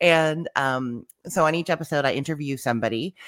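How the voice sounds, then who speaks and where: A woman with a Canadian accent and fairly even intonation is heard in a very clean recording with a silent background and a dry, close sound with no echo. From Canada, Winnipeg. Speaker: food blogger. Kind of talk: casual interview.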